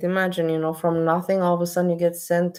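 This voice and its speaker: Speaking with a non-native accent, the woman has a fairly low voice. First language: not English. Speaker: streamer reacting to videos. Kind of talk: live stream commentary.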